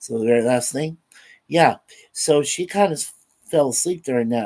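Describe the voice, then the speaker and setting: A man at a moderate pace. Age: 60s. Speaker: vlogger, film reviewer. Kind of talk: casual chat, film review. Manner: halting, many fillers.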